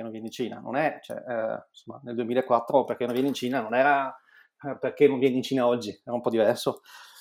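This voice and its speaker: Talking at a very fast pace, a man keeps a monotone, flat intonation while his loudness swings widely. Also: medium pitch for a man, very clean recording, silent background. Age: 40s. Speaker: entrepreneur. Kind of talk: interview. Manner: halting.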